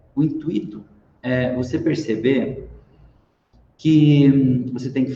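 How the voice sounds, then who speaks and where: Audible room echo surrounds a man who speaks slowly-ish, at a fairly slow pace, with a fairly high pitch and vocal fry. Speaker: lecturer / business speaker. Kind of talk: online talk. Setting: live stream.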